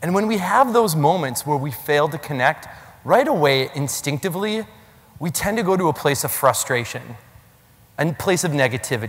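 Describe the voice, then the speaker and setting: Against noticeable background noise, a man with an American accent speaks at a moderate pace in a fairly high pitch, with an animated tone and lively intonation. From Minnesota. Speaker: keynote speaker on generations. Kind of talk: keynote talk. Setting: stage with audience.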